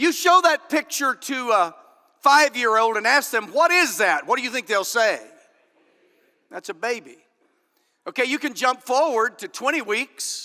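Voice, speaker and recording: An animated man with an American accent uses a raised, projected voice at an extremely high pitch with very wide pitch swings, at a moderate pace, in a dry, close sound with no echo. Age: 50s. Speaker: political candidate. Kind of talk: political speech. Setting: stage with audience.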